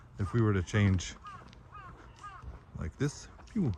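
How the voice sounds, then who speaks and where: Over noticeable background noise, a man talks with a fairly low pitch and ordinary pitch variation. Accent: American. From US South, North Carolina (Hendersonville). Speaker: vlogger and teacher. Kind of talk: live-stream walking vlog. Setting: outdoors, walking in a park. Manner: loud.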